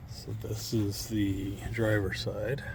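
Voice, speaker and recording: Room echo is audible and background noise is noticeable. Through it, a man talks with fairly even intonation. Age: 60s. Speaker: DIY mechanic vlogger. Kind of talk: casual workshop tutorial. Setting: outdoors in yard. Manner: casual, conversational.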